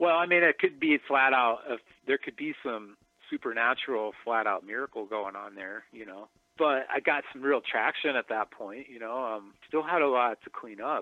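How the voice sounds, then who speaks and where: A man with an American accent and a medium pitch has a normal speaking voice and a moderate pace. His pitch variation is ordinary, and his loudness swings widely. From South Dakota, US. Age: 40s. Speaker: tattoo shop owner. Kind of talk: interview about recovery.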